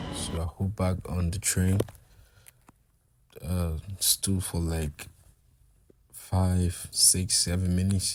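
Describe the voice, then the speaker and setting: A man speaks very slowly in a very deep, low voice. His intonation is monotone and flat, broken by long, frequent pauses. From Liberia. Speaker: student vlogger. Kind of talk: travel vlog narration. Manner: casual, repetitive with restarts.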